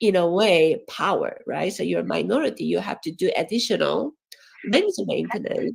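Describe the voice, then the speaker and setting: The speaker has a Korean accent and talks at a moderate pace. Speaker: education professor. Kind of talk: academic talk. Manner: halting, many fillers.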